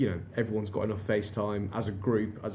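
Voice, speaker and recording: Somewhat breathy and fairly low in pitch, a man speaks in a dark, mellow tone with audible room echo. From northern England, Darlington. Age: 40s. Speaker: recruitment company director. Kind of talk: podcast interview. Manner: repetitive false starts.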